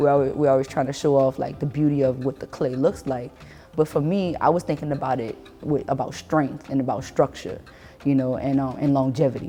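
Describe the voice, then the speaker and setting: In a New Orleans accent, a woman speaks at a very deep, low pitch and fairly quick pace with a relaxed tone and fairly even intonation as music plays in the background. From New Orleans, Louisiana (Lower Ninth Ward). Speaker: artist. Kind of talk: casual artist talk about her work. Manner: relaxed, conversational with many fillers.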